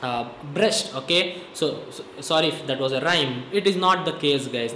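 A man speaks with ordinary pitch variation. There is audible room echo and light background noise. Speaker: fitness vlogger. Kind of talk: casual fitness advice talk to camera. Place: home room. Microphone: phone near.

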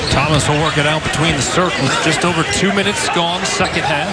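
A very fast, energetic delivery over noticeable background noise. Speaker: play-by-play announcer. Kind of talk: live basketball play-by-play commentary. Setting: arena broadcast. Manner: quick, crisp, energetic call of each possession.

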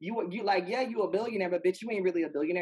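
The background is quiet as a woman talks. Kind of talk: panel discussion. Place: home room. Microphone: video call.

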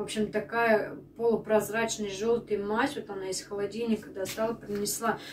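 A woman's fairly high voice, fairly even in intonation, at a moderate pace over light background noise. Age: 30s. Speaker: stay-at-home mom vlogger. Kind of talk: casual vlog talk to camera. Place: kitchen.

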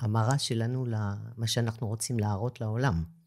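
In a very clean recording with a silent background, a woman talks very slowly in a very deep, low voice with a dark, mellow tone and fairly even intonation. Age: 50s. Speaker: dentist. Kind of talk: interview conversation.

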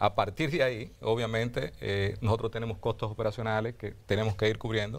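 Fairly quick and fairly even in intonation, a man speaks with a Dominican accent. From Dominican Republic, Azua. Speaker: mining company executive. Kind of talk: TV interview. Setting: TV studio. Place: studio. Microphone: lapel.

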